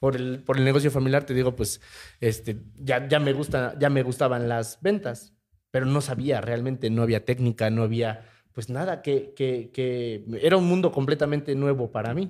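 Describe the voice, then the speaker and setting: A man speaks with a Mexican accent at a moderate pace. His pitch sits in the medium range, with ordinary variation. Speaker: podcast co-host, sales professional. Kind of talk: casual chat.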